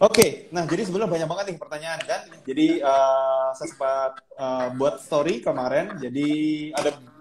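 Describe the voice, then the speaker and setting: Over noticeable background noise, a man speaks at a fairly high pitch with ordinary pitch variation. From Indonesia, Banjarmasin and Surabaya. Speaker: Instagram live host. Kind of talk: casual live-stream interview.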